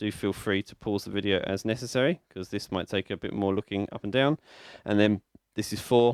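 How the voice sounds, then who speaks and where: A man with a British accent speaks at a fairly quick pace in a fairly low pitch, with ordinary pitch variation and big swings in loudness, in a dry, close sound with no echo on a very clean recording with a silent background. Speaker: music teacher. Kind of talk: tutorial. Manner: fast.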